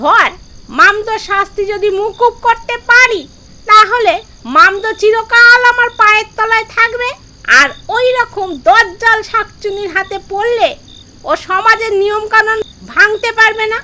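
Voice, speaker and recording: A woman uses a put-on character voice at an extremely high pitch. She goes at a fairly slow pace. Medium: read story. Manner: crafty, self-important.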